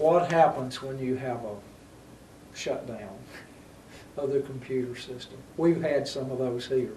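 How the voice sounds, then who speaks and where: A man with a Southern US accent at medium pitch, fairly slow pace with long, frequent pauses, ordinary pitch variation, big swings in loudness, audible room echo and noticeable background noise. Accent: Southern American. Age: 70s. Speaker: city mayor, show host. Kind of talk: local TV interview.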